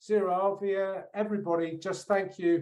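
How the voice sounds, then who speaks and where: A man with a British accent at a moderate pace. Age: 60s. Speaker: polar explorer, keynote speaker. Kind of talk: keynote speech. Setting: conference.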